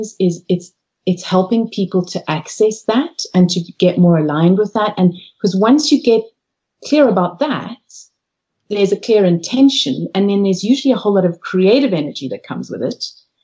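Somewhat breathy, a woman talks at a moderate pace and medium pitch with lively intonation. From Zimbabwe and South Africa. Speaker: organisational consultant and coach. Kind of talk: interview. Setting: Skype call from home office.

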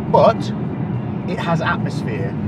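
A man talks at a moderate pace, and the sound is dry with no echo. Loud background noise runs underneath. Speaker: fitness vlogger. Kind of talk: casual vlog chat. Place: car.

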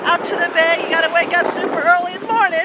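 The clip has loud background noise and a dry sound with no echo. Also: woman. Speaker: local area guide. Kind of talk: casual vlog chat. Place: street. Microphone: phone near.

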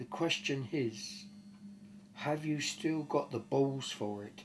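Over light background noise, a man speaks at a very slow pace in a somewhat breathy voice with lively intonation. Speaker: storyteller. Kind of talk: casual storytelling and reading a letter aloud. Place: home room. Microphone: camera far.

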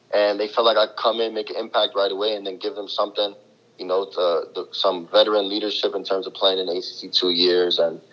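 A man talks at a fairly quick pace. He has a New York accent. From New York City (East Harlem). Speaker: college basketball player. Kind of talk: interview.

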